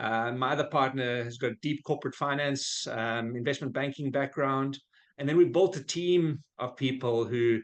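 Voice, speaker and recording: Speaking with a South African accent, a man moves at a fairly quick pace. His voice is medium in pitch, with fairly even intonation. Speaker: business founder. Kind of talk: podcast interview. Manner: conversational with frequent fillers.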